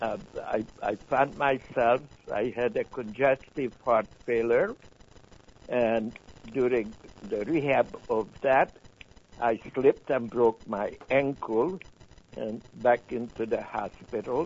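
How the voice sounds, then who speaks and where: A man's very slow speech with fairly even intonation and long, frequent pauses. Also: medium pitch for a man. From Hungary. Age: 70s. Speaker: Holocaust survivor. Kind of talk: testimony.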